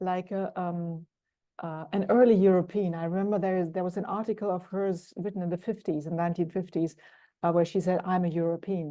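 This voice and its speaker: A woman with a German accent speaks at a fairly quick pace in a medium pitch, her tone dark and mellow and her intonation flat and monotone, against a quiet background. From Germany. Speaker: executive coach. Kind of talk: interview. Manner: thoughtful, hesitant with fillers.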